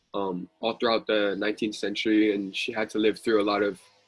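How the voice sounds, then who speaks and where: Music in the background behind a man's monotone, flat delivery. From Hawaii, Kalihi (Oahu). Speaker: youth activist. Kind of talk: panel discussion.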